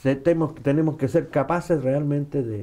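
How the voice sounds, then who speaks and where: A man with a dark, mellow tone, at a moderate pace and with ordinary pitch variation. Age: 70s. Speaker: former political bodyguard, activist. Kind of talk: interview.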